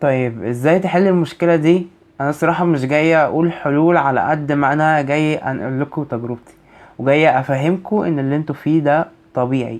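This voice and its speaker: A man with an Egyptian accent, fairly high-pitched, at a moderate pace with ordinary pitch variation. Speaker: university student advice vlogger. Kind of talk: vlog advice talk.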